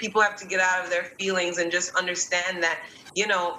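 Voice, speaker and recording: Noticeable background noise sits behind a woman's voice. She speaks at a fairly low pitch in a monotone, flat intonation. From Jamaica, Kingston. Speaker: guest speaker on racial equality. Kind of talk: panel discussion. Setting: live stream.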